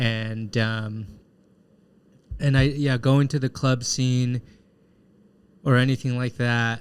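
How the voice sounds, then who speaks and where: A man talks very slowly in a medium-pitched voice. His intonation is monotone and flat, with long, frequent pauses. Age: 30s. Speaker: podcast host. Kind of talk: casual interview chat.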